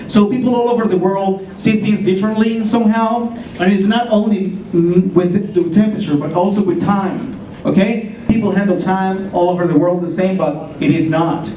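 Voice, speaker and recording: Speaking with a Spanish accent, a man uses a high pitch, fairly even intonation and a moderate pace, with audible room echo and noticeable background noise. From Colombia. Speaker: ESL teacher. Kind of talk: presentation.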